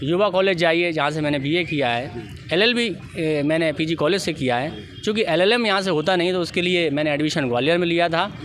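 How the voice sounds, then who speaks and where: Over noticeable background noise and audible room echo, a man with a high pitch talks at a moderate pace, his loudness very even and his pitch varying in an ordinary way. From India, Guna, Madhya Pradesh. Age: 30s. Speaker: politician, election candidate. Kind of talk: interview. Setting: outdoors. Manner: formal.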